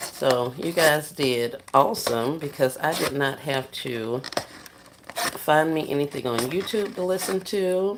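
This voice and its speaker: A soft-spoken woman with a very deep, low pitch talks at a fairly slow pace. Her intonation is lively, and there is noticeable background noise. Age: 40s. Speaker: livestreamer. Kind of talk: casual chat.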